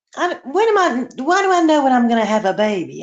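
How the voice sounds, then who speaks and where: Her high voice swinging very widely in pitch, a woman speaks with a Southern US accent. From US South, Charleston, South Carolina. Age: 60s. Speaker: caller on a live stream. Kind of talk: casual chat.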